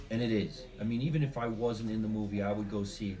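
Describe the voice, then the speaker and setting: A man speaks at a fairly quick pace with a New Jersey accent and fairly even intonation. Audible room echo surrounds his voice. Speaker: comedian and actor. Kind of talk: interview.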